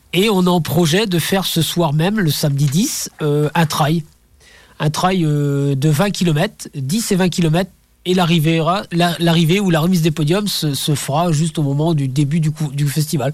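This man has a plain, everyday voice, pitched fairly high, and talks at a fairly slow pace with very even loudness. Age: 50s. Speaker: amateur ultra-trail runner and association president. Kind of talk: radio interview. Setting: radio studio.

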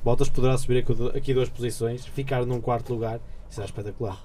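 Amid audible room echo, a man speaks fairly quickly in a dark, mellow, somewhat breathy tone at medium pitch, with monotone, flat intonation. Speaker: student radio panelist. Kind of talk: casual chat.

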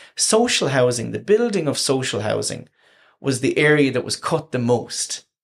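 At a moderate pace, a man with a Waterford accent speaks at a fairly high pitch. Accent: Waterford Irish. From Ireland, County Waterford. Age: 30s. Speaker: housing academic. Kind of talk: casual chat.

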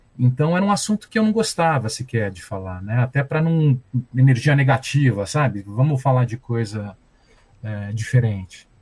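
Speaking at a moderate pace, a man's somewhat breathy voice shows big swings in loudness. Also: medium pitch for a man, lively intonation. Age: 50s. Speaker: journalist and violence researcher. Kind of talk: interview.

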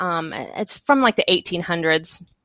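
In a Texan accent, a woman speaks at a very slow pace with ordinary pitch variation, the sound dry and close with no echo on a very clean recording with a silent background. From Texas. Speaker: children's author. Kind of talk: interview. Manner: halting.

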